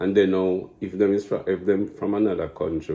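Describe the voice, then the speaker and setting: This man has a Jamaican accent. His pitch is very deep and low, and his pace is moderate. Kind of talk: casual conversation.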